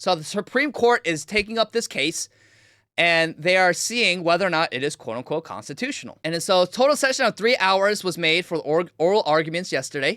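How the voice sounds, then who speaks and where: In a very clean recording with a silent background and a dry, close sound with no echo, a man speaks at a fairly quick pace in a high pitch, with a bright, sharp, animated tone and lively intonation. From Korea. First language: Korean. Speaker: political commentator. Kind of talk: livestream commentary.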